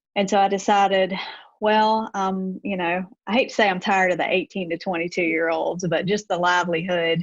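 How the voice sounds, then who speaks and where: A woman with a Deep South accent and fairly even intonation against a quiet background. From US Deep South, Gulfport, Mississippi. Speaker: gym owner, former college basketball coach. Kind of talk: podcast interview.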